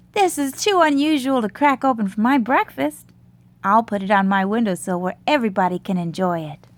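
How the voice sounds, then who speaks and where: A woman's put-on character voice, fairly high in pitch and fairly quick in pace. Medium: read story. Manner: bright, expressive.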